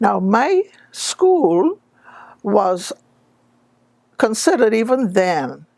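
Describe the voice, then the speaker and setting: A woman with a Bahamian accent and a dark, mellow tone, at a very slow pace with very wide pitch swings and long, frequent pauses. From Bahamas, Long Island. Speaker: public figure telling her life story. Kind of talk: personal life story talk.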